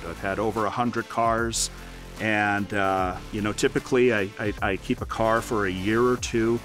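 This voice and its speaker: Clear music plays behind a man who speaks at a fairly slow pace with ordinary pitch variation, the sound dry with no echo. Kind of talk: garage tour interview talk. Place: street.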